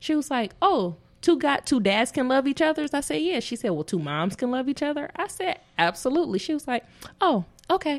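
An American-accented woman talks at a fairly quick pace and a high pitch. Her pitch swings very widely. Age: 30s. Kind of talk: casual chat.

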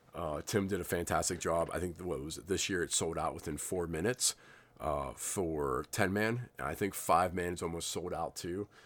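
A man talks at a moderate pace with a very deep, low pitch and vocal fry. The recording is very clean, with a silent background. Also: ordinary pitch variation. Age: 30s. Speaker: paintball podcaster. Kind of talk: casual solo podcast monologue. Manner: loose, filler-heavy delivery.

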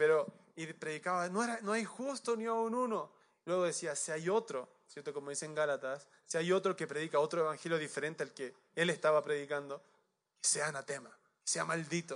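Using a normal speaking voice, a man with a fairly high pitch and ordinary pitch variation talks at a fairly quick pace. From Chile. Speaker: pastor. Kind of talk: sermon.

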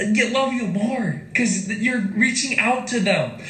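Noticeable background noise runs under the voice. The pace is fairly slow. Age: 20s. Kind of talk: personal reflection talk; prayer and scripture reading.

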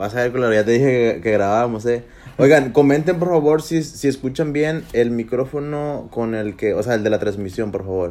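At a moderate pace, a man with a medium pitch and a dark, mellow tone speaks with ordinary pitch variation. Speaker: podcast co-host. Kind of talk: casual chat. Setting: livestream on Facebook. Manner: loud.

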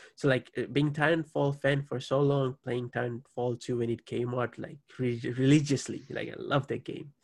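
A man speaks at a medium pitch and a moderate pace, his voice somewhat breathy. His intonation is monotone and flat. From Fiji. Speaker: podcast host. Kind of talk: casual chat.

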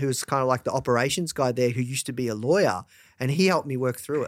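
A man speaks with an Australian accent. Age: 30s. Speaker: entrepreneur, media company founder. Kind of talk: interview.

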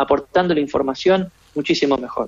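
A man with an Argentine accent speaks at a fairly quick pace. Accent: Rioplatense Argentine Spanish. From Argentina. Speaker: creativity expert. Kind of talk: radio interview.

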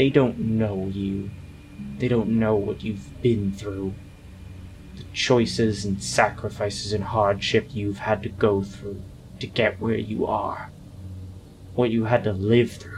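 A man's growling put-on character voice, fairly low in pitch, at a fairly slow pace over clear background noise. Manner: bitter, manipulative, seductive.

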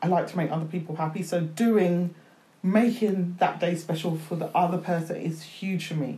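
A woman speaks at a moderate pace with a fairly low pitch and a dark, mellow tone. Her voice is somewhat breathy and her intonation fairly even. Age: 50s. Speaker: author. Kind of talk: casual chat.

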